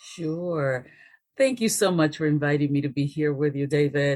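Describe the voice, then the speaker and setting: In a Spanish accent, a woman with a very deep, low pitch speaks at a moderate pace with fairly even intonation, the recording very clean with a silent background. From Dominican Republic, moved to US at ten. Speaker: race relations expert. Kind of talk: podcast interview.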